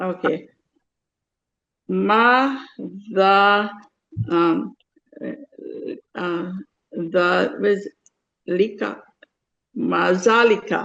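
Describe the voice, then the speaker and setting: Her pace very slow, a woman speaks at a medium pitch with ordinary pitch variation and long, frequent pauses. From Guyana. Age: 70s. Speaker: adult student. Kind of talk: language lesson. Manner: halting.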